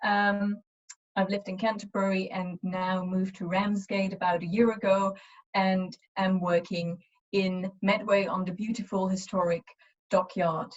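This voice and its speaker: A woman with a German accent speaks at a fairly slow pace in a medium pitch, somewhat breathy, her intonation monotone and flat. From Eastern Germany. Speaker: university lecturer. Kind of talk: webinar presentation. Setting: online webinar. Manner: hesitant, many fillers.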